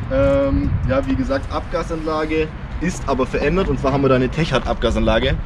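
Loud background noise fills the clip. A man is speaking. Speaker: car reviewer. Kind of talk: casual vlog chat. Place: street.

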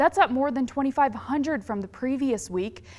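A woman's voice with ordinary pitch variation, music playing in the background. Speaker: news anchor. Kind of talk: TV news read.

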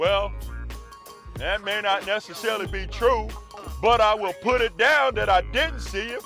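A man at a moderate pace, dry sound with no echo, faint music in the background. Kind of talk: comedic monologue, vlog rant. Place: car. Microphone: phone near.

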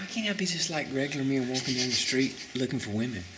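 Loud noise fills the background while a man rattles off words very fast. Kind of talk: casual vlog chat. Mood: awed, slightly nervous. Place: classroom. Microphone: phone near.

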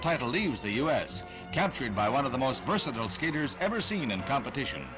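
Very wide pitch swings from a man, with clear music in the background. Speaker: newsreel narrator. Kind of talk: newsreel narration. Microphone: old recording.

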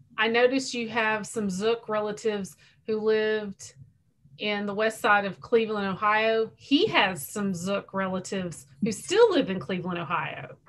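Fairly high female speech, very slow, its pitch varying in an ordinary way. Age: 40s. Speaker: library outreach coordinator. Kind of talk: Q&A moderation. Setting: video call. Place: home room. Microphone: video call.

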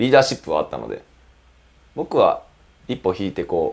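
At a moderate pace, a man is speaking. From Gifu Prefecture, Japan. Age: 20s. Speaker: professional footballer, goalkeeper. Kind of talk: interview. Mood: relaxed, smiling. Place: studio. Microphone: lapel.

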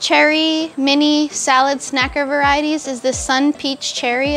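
Faint music sits behind a woman who speaks at a moderate pace in a high pitch. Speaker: tomato tasting host. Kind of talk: casual tasting presentation. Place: farm.

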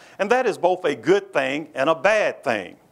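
A man's high voice with very wide pitch swings. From Kentucky (Lexington). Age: 60s. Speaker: history professor and university president. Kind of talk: lecture. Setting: stage with audience. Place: hall. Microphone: lapel.

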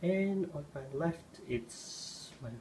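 The voice rises and falls with ordinary pitch variation over light background noise. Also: man. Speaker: tech reviewer. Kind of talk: casual tech demo commentary. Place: home room. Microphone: phone near.

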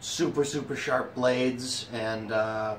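Light background noise sits behind a man's speech. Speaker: cigar reviewer. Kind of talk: casual tutorial chat with jokes. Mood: relaxed, joking. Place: home room. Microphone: phone near.

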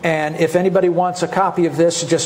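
This is a man's voice. It sits high in pitch. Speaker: presenter. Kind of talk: lecture. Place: hall. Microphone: lapel.

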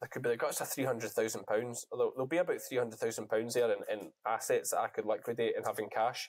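A man with a Scottish accent talks very fast against a quiet background. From Scotland. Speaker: sheep farmer and shearer, YouTuber; YouTuber. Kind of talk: casual chat. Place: home room. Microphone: earbuds.

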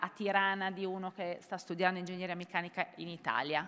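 A woman's voice with a bright, sharp tone. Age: 40s. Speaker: entrepreneur; panelist. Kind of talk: panel discussion. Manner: hesitant, many fillers. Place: hall. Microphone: podium.

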